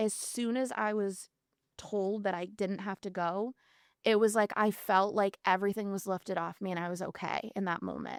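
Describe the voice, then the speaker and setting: At a moderate pace, a woman with an unremarkable speaking voice talks at medium pitch with fairly even intonation in a dry, close sound with no echo. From Massachusetts, US. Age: 30s. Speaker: aesthetician and makeup artist, mental health advocate. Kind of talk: podcast interview, personal testimony.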